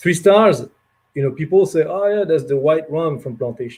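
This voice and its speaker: Somewhat breathy speech in a French accent, at a moderate pace with ordinary pitch variation. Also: man. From France. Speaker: rum producer representative. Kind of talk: casual talk on a livestream. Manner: many hesitations and fillers.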